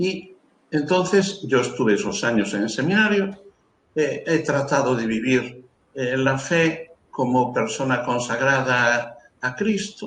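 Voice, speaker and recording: With lively intonation, a man speaks very slowly at a medium pitch. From Galicia, Spain (Carril, Ría de Arosa). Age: 70s. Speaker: priest. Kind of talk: interview, life story. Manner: halting, many fillers.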